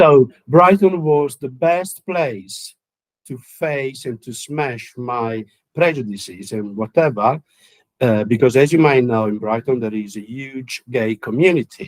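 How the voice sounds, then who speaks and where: In an Italian accent, a man at medium pitch speaks at a fairly slow pace with lively intonation and big swings in loudness, the sound dry and close with no echo. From Italy. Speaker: counsellor and musician. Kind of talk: interview. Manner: halting, many fillers.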